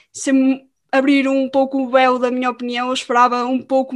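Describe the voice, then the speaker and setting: Here a woman talks at a fairly quick pace with a high pitch and monotone, flat intonation. The recording is very clean, with a silent background. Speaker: podcast host. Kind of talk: casual chat.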